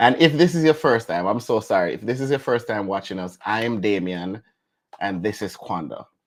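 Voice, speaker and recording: A man with a Jamaican accent speaks at a fairly quick pace in a fairly low pitch, his intonation lively, on a very clean recording with a silent background. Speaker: travel vlogger. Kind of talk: live stream chat.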